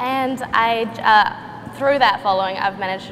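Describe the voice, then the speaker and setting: Against noticeable background noise, a speaker with a New Zealand accent talks at a moderate pace with ordinary pitch variation. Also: woman. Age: 20s. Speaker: artist and social media influencer. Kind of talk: panel discussion.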